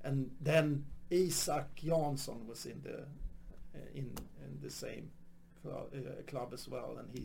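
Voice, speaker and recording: Speaking at a very slow pace, a man with a Swedish accent makes big swings in loudness. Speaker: stand-up comedian. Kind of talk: casual interview chat. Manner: halting.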